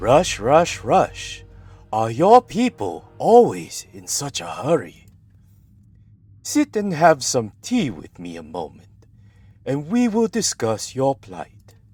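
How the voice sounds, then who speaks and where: Doing a put-on character voice, a man speaks fairly slowly at a fairly high pitch, with big swings in loudness and long, frequent pauses. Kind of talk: amateur impression of a game character. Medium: game stream. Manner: gentle, unhurried.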